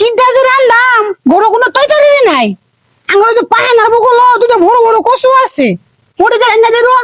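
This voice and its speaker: A woman's put-on character voice, extremely high, at a moderate pace. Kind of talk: comic overacting. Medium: comedy sketch. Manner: whiny, protesting.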